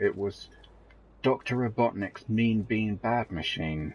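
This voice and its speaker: A man speaks at a fairly slow pace with a somewhat breathy voice and a British accent. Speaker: gaming streamer. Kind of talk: live game commentary. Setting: live stream. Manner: halting, many fillers.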